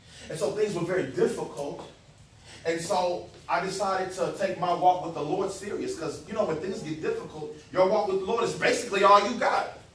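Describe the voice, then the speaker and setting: Talking at a fairly quick pace in an animated tone, a man with a high pitch and ordinary pitch variation is heard with audible room echo and noticeable background noise. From Texas. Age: 30s. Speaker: youth speaker. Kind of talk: sermon.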